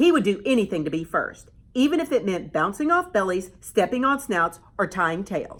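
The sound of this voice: The voice heard here is an unforced reading voice.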